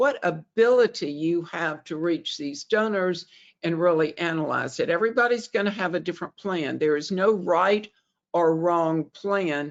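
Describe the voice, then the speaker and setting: With a Southern US accent, a woman talks at a moderate pace in a fairly low pitch with ordinary pitch variation. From US South, Alabama. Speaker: fundraising consultant. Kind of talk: webinar presentation. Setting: webinar.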